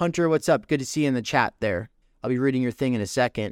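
Energetic in tone, a man speaks at medium pitch in a very clean recording with a silent background and a dry, close sound with no echo. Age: 30s. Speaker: podcast host and streamer. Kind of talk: live stream update. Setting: live stream. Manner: casual, energetic.

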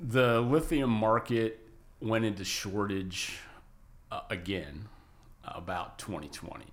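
Moderately paced, with ordinary pitch variation: a plain, everyday voice from a man, fairly low in pitch. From western New York State. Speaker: lithium industry consultant. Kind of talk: interview. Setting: studio.

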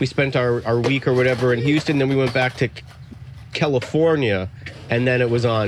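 Against noticeable background noise, a man speaks at a medium pitch with an American accent. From Miami, Florida. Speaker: skater and podcaster. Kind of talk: casual interview chat. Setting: outdoors at a skate park.

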